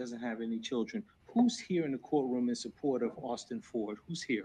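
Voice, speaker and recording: With a New Jersey accent, a man speaks at a medium pitch in a dark, mellow tone, using ordinary pitch variation. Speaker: defense attorney. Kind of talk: courtroom examination. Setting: courtroom. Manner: fast.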